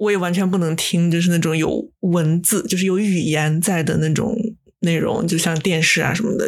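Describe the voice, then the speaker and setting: Here a woman speaks at a moderate pace with a fairly low pitch and ordinary pitch variation. Hers is an unremarkable speaking voice. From Japan. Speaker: podcast co-host. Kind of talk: casual chat.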